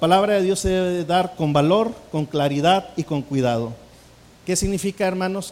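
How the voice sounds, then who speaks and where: This man has a high voice. His pitch varies in an ordinary way. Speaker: pastor teaching preaching. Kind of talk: sermon-style lecture on preaching. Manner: slow; hesitant, many fillers.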